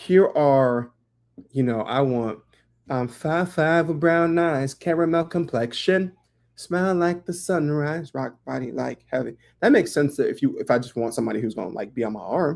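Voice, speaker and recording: A man talks with lively intonation at a moderate pace, captured on a very clean recording against a silent background. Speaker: live-stream host. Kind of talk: casual chat. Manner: expressive, animated.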